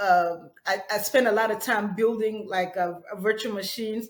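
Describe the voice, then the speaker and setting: A moderate pace with fairly even intonation. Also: woman. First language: not English; English is her third language. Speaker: ethical hacker. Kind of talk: interview. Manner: halting, many fillers and restarts.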